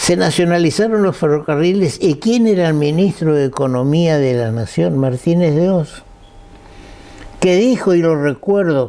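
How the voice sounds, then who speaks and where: Against noticeable background noise, a man with a fairly high pitch speaks at a fairly slow pace with lively intonation and very even loudness. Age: 80s+. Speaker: lawyer and guest speaker. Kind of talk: talk to an audience. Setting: breakfast event with audience.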